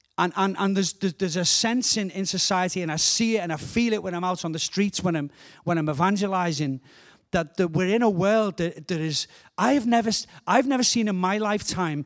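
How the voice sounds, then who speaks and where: With a Liverpool accent, a man talks at a fairly quick pace and a high pitch in an animated tone with ordinary pitch variation, in a very clean recording with a silent background. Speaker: guest preacher. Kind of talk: sermon.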